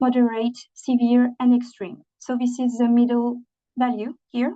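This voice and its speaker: A woman speaks in a high pitch with a dark, mellow tone. She has a non-native accent, and the background is quiet. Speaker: training presenter. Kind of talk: webinar presentation. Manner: halting, many fillers.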